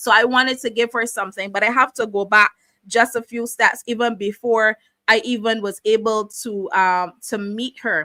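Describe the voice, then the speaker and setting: A woman with a Barbadian accent speaks with a bright, sharp tone at a fairly high pitch and fairly even intonation, in a dry, close sound with no echo on a very clean recording with a silent background. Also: moderate pace. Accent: Barbadian (Bajan). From Barbados. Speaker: talk show host. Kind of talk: personal testimony. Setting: live stream, camera off.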